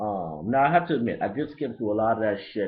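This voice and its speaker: A man speaks at a very fast pace with a slight Haitian accent. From Brooklyn, New York (Haitian family). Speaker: hip-hop album reviewer, vlogger. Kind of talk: casual webcam review monologue. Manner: loose, unedited, filler-heavy.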